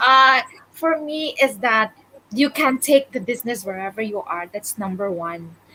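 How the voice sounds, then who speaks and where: Lively intonation runs through a woman's high-pitched voice. She talks at a fairly slow pace. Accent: Filipino. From Philippines, Visayas. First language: Bisaya (Cebuano). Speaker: digital business owner. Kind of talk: casual interview chat.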